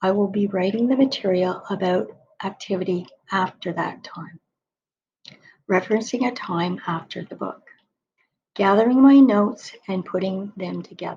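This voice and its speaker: With a dark, mellow tone and a somewhat breathy quality, a woman at medium pitch talks at a moderate pace, using ordinary pitch variation, long, frequent pauses and big swings in loudness. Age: 60s. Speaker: spiritual author telling her story. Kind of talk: personal video monologue.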